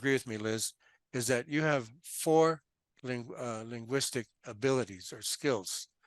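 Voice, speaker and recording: A man's medium-pitched voice with a Californian accent, at a fairly slow pace, in a dry, close sound with no echo. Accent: Californian American English. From US West Coast, Los Angeles. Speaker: financial translator. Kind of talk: casual interview.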